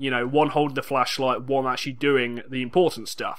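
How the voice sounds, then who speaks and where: A man with an English accent in a very clean recording with a silent background. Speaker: video game let's play commentator. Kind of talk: gameplay commentary.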